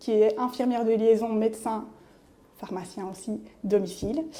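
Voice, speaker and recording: Dark and mellow in tone, a woman's voice sits at a fairly high pitch. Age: 40s. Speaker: nurse. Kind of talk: interview testimony. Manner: hesitant, many fillers.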